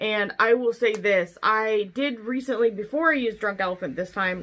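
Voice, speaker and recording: A woman speaks at a moderate pace in an ordinary speaking voice, her pitch fairly high, on a very clean recording with a silent background. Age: 30s. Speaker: beauty vlogger. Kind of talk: product review. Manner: casual, chatty.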